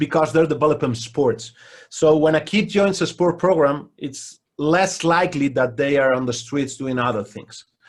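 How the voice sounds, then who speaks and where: A man speaks with a Spanish accent at a fairly high pitch. His pitch varies in an ordinary way, and the background is quiet. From Spain. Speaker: basketball coach. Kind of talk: interview. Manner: halting.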